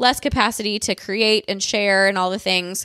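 Speaking with a Midwestern American accent, a woman uses a medium pitch and a bright, sharp tone in a monotone, flat delivery. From US Midwest. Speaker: podcast host, dietitian. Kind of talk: casual solo monologue. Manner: chatty, fast.

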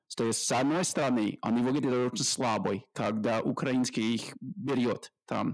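On a very clean recording with a silent background, a man speaks at a moderate pace. He has a plain, everyday voice at medium pitch. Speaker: podcast host. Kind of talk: interview.

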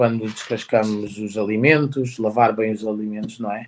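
A man talks at a medium pitch and an even, moderate speed, and the recording is very clean, with total silence behind him. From Portugal, Santarém. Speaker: chef. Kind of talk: interview. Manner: halting, many repetitions.

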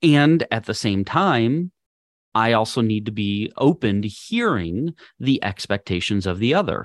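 Speaking fairly slowly in an ordinary speaking voice with an American accent, a man of medium pitch uses lively intonation, recorded dry and close with no echo against a quiet background. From Minnesota, US Midwest. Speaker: podcast host and leadership coach. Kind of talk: solo podcast lesson.

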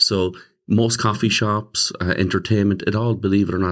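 A man with a very deep, low pitch talks at a fairly quick pace in a very clean recording with a silent background. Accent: Limerick. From Ireland, Limerick. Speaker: pastor. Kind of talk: interview.

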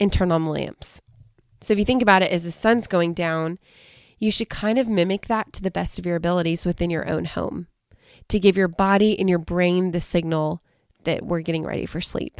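A woman with a plain, everyday voice and an American accent speaks at a fairly low pitch and a moderate pace with fairly even intonation, on a very clean recording with a silent background and a dry, close sound with no echo. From US South, coastal southern Alabama. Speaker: dietitian and podcast host. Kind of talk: solo educational podcast talk.

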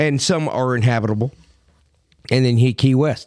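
Speaking with an American accent, a man holds a medium pitch and a moderate pace with ordinary pitch variation. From Miami, Florida. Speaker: podcast co-host. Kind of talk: casual chat. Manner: animated.

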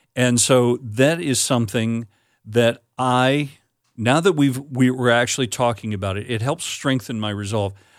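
A man with a normal speaking voice talks at a medium pitch and a moderate pace, with ordinary pitch variation, in a very clean recording with a silent background. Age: 50s. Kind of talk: casual chat.

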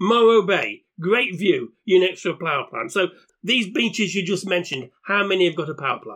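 Talking at a moderate pace with a British accent, a man has a high pitch, ordinary pitch variation and a bright, sharp tone. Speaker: podcast host. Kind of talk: casual chat.

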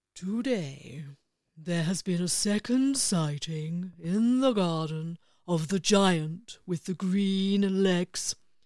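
A woman's put-on character voice, serious in tone, medium in pitch and very slow. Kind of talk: bedtime story. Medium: read story. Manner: slow, serious, pedantic.

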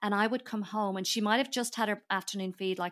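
A woman speaks at a very fast pace with fairly even intonation. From Ireland. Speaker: entrepreneur and author. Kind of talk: interview.

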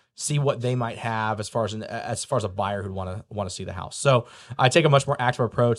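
A man with an American accent at a very fast pace, medium pitch and ordinary pitch variation, on a very clean recording with a silent background. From US Midwest, rural area west of St. Louis, Missouri. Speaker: real estate broker. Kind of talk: interview. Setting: studio.

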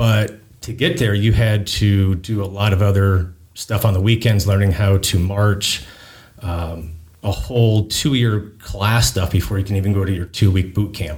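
With a somewhat breathy, fairly low voice, a man talks at a moderate pace with ordinary pitch variation. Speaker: public works coordinator and Navy reservist. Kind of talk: interview.

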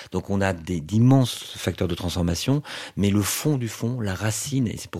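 A man speaks at a moderate pace with a fairly low pitch. His tone is dark and mellow, with ordinary pitch variation. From southwest France, Toulouse. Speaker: luxury digital strategy expert. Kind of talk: interview.

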